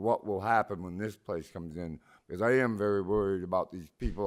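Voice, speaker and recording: The recording is very clean with a silent background, and a man with a fairly low pitch talks with ordinary pitch variation. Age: 60s. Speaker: public commenter. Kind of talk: public comment at meeting. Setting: city planning commission meeting.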